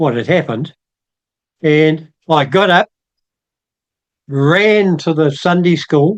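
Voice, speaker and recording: A man's fairly high voice with ordinary pitch variation, in a New Zealand accent. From New Zealand, Otago. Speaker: church member. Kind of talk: testimony.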